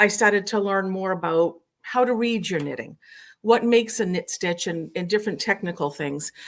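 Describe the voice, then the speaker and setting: A woman with a Massachusetts accent, moderate pace and ordinary pitch variation, on a very clean recording with a silent background. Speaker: knitting instructor. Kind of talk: interview.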